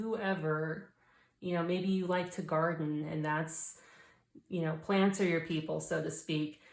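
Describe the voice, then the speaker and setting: A woman talks at a moderate pace with an ordinary speaking voice. Her pitch is fairly low and her intonation fairly even. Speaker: tarot reader. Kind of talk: tarot reading.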